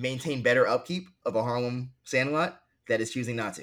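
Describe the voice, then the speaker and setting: Speaking with an American accent in an ordinary speaking voice, a man talks at a moderate pace and medium pitch with ordinary variation, on a very clean recording with a silent background. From New York City (Queens). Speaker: sports journalist. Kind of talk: interview conversation.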